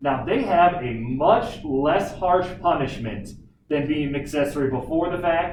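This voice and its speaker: At a moderate speed, a man talks while the room's echo remains audible. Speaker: teacher. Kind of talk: lecture.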